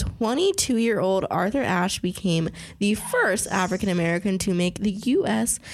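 Fairly slow speech with ordinary pitch variation and very even loudness over noticeable background noise. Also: woman, medium pitch for a woman. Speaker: podcast host. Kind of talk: casual chat.

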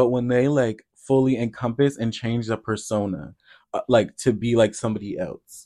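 A man talks at a moderate pace with an American accent, his pitch medium and his intonation fairly even. He has a plain, everyday voice. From US Midwest, Iowa. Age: young. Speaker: podcast co-host. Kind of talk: casual chat.

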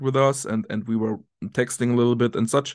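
A man speaks with a German accent at medium pitch and ordinary pitch variation. The background is quiet. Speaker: football tactics analyst and coach. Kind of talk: interview. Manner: halting.

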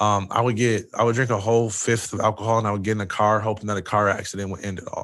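Speaking very fast with hardly any pauses, a man with an American accent keeps a fairly low pitch and a monotone, flat intonation. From Michigan, Jackson. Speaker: former college football player and speaker. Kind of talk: interview.

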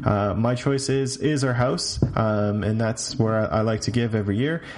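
A man with a medium-pitched voice and an American accent, ordinary pitch variation, noticeable background noise. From Canada. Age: young. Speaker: recurring segment contributor. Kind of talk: recorded monologue. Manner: halting, many fillers.

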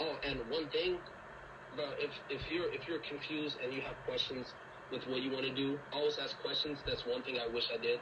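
A man keeps a moderate pace as noticeable noise carries behind him. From Liberia. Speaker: college student athlete. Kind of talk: casual chat.

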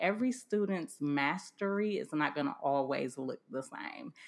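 A woman with an American accent, medium pitch, very wide pitch swings, and a fairly slow pace, in a very clean recording with a silent background. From US Midwest, Cleveland, Ohio. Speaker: education consultant and author. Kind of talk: podcast interview.

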